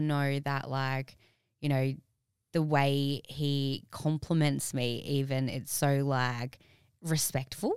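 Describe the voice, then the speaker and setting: A woman with an Australian accent speaks at a very deep, low pitch in a very clean recording with a silent background. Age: 20s. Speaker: personal trainer and fitness competitor. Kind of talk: casual chat.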